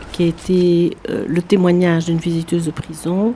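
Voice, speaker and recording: A woman talks fairly slowly in a fairly low register while noticeable background noise runs underneath. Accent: Belgian. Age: 70s. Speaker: prison visitor, association president. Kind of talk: documentary interview.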